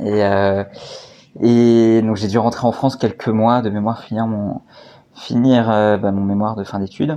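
In a dark, mellow tone, a man speaks at a medium pitch and moderate pace with fairly even intonation. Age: 30s. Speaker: entrepreneur, co-founder of a honey company. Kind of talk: interview. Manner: halting, many fillers and repetitions.

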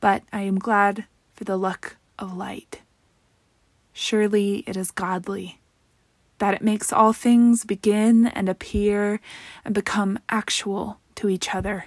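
With a warm tone and medium pitch, a woman talks at a fairly slow pace in a monotone, flat intonation, leaving long, frequent pauses, in a dry, close sound with no echo. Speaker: podcast host. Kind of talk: casual monologue, reflective personal podcast talk, with poem reading. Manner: conversational, warm, with filler words and self-corrections.

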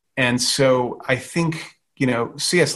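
This man talks at a medium pitch with ordinary pitch variation and a somewhat breathy voice. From Louisiana, Gulf Coast. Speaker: crime novelist. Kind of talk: casual interview chat.

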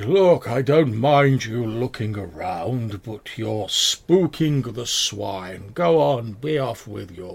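A man does a put-on character voice at a medium pitch. He speaks at a very slow pace. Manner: irritated, impatient.

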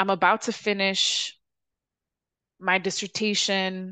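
Against a quiet background, a woman with an American accent speaks very slowly in a bright, sharp, medium-pitched voice. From Chicago, South Side. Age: 30s. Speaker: podcast host. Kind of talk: casual personal monologue. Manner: casual, profane.

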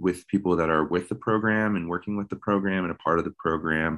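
An American accent against a quiet background. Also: man. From Maryland, US. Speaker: outdoor program founder and guide. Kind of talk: interview conversation.

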